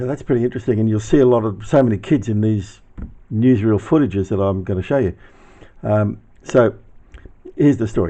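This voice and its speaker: Using an Australian accent, a man with a fairly low pitch and a dark, mellow tone talks at a fairly quick pace with ordinary pitch variation and long, frequent pauses. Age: 70s. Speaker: YouTuber reminiscing. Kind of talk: casual narration with footage.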